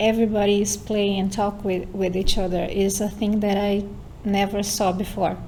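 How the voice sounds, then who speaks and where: A woman with a Portuguese accent talks at a moderate pace, with audible room echo and noticeable background noise. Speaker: university student and lab member.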